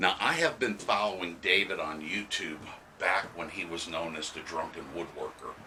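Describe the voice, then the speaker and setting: Noticeable background noise fills the recording. Over it, a man talks at a moderate speed. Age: 60s. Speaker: woodworking channel host and book reviewer. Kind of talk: casual video review. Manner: hesitant with many fillers.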